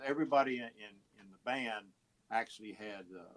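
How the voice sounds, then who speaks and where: This man speaks with a Texan accent. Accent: Texan American. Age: 70s. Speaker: musician and radio host. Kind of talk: interview. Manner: halting, many fillers and repeats.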